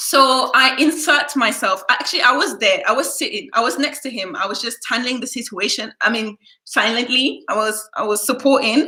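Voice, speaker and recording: A woman in a raised, projected voice, high-pitched and animated, with ordinary pitch variation, a moderate pace and hardly any pauses. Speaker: YouTuber. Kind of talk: casual storytime livestream. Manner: naturally loud.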